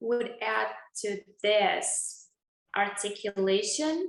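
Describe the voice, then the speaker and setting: This woman speaks with a Russian accent. Her pace is very slow. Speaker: dentist and channel host. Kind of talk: interview conversation.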